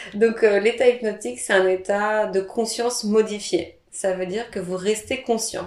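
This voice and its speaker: A fairly slow, fairly evenly intoned delivery over noticeable background noise. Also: woman. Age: 30s. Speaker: hypnotherapist. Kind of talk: interview.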